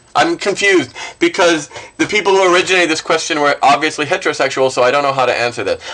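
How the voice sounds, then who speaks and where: Over noticeable background noise, a man speaks in a raised, projected voice with lively intonation. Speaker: vlogger. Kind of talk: casual vlog answering a questionnaire.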